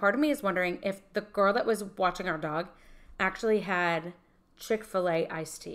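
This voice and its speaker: Ordinary pitch variation and a fairly quick pace in an unremarkable speaking voice, with an American accent. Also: woman. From northern US. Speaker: podcast co-host and entrepreneur. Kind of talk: casual chat.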